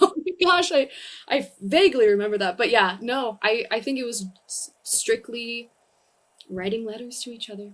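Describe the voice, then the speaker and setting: Lively intonation and big swings in loudness mark this voice with a Californian accent. The pace is moderate, and the recording is very clean with a silent background. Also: woman, fairly high pitch for a woman. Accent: Californian American English. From US, Southern California. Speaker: comedian. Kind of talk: casual chat.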